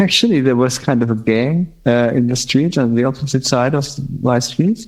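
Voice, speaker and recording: A man with a German accent at a moderate pace, with ordinary pitch variation and very even loudness. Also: medium pitch for a man. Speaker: blind musician, guitarist. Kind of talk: interview conversation. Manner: halting.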